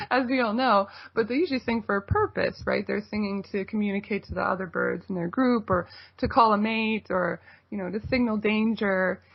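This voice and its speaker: Over background music, a woman of medium pitch with a Canadian accent speaks at a fairly quick pace with fairly even intonation. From Toronto, Canada. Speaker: folk singer-songwriter. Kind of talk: radio interview.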